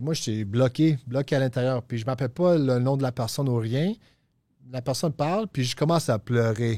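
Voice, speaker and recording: A man with a medium pitch and a dark, mellow tone talks at a fairly quick pace with ordinary pitch variation. The very clean recording has a dry, close sound, no echo and a silent background. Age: 30s. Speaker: recovering addict sharing his story. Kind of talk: testimony. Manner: halting, repeats words.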